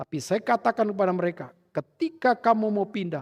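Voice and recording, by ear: In a very clean recording with a silent background, a man speaks in a high voice at a fairly quick pace with lively intonation.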